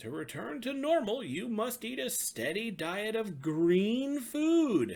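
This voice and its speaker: A man in a put-on character voice speaks at a fairly slow pace, his high pitch making very wide swings. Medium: read story. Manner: formal, measured.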